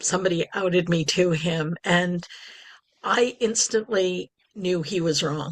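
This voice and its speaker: An unremarkable speaking voice at a fairly slow pace, with ordinary pitch variation and a dry, close sound with no echo. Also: woman, fairly low pitch for a woman. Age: 60s. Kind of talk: podcast interview.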